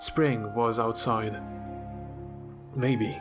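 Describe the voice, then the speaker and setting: With music in the background, a man with a non-native accent talks at a fairly slow pace with ordinary pitch variation. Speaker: novelist reading own work. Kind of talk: fiction reading.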